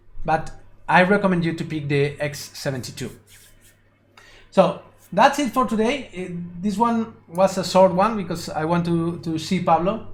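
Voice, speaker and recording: A man with a high pitch and a Spanish accent, at a moderate pace with ordinary pitch variation. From Spain. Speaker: 3D animation tutor and streamer. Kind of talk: live stream tutorial. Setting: live stream. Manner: halting, with repetitions.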